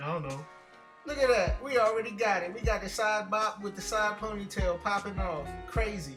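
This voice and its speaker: A man talks at a fairly quick pace in a high pitch. Music plays in the background. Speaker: comedic voiceover narrator. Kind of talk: comedic voiceover of hair tutorial. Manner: casual, joking.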